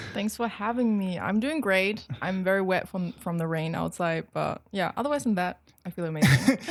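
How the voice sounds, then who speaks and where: With a slight German accent, a woman speaks at a medium pitch with lively intonation and hardly any pauses. Noticeable background noise is present. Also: moderate pace. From West Germany (Cologne/Dusseldorf area). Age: 20s. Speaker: model and social media creator. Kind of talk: casual chat.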